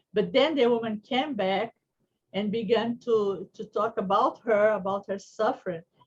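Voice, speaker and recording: Somewhat breathy, a woman with an American accent speaks at a moderate pace and fairly high pitch with ordinary pitch variation. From Brazil. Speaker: psychologist. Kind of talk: conference talk. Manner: halting.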